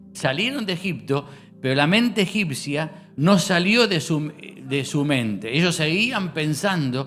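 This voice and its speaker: A man with a fairly high voice and a Rosario accent talks at a fairly slow pace with lively intonation. There is audible room echo and music plays in the background. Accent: Rosario Argentine. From Argentina, Rosario. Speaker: pastor. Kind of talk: sermon. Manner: hesitant, many fillers.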